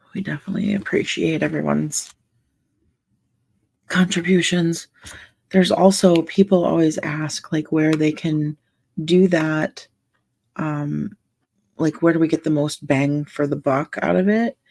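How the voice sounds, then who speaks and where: On a very clean, dry and close recording with a silent background and no echo, a soft-spoken woman with a very deep, low pitch talks at a fairly slow pace with fairly even intonation and long, frequent pauses. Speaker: livestream coloring ASMR host. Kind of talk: casual livestream chat.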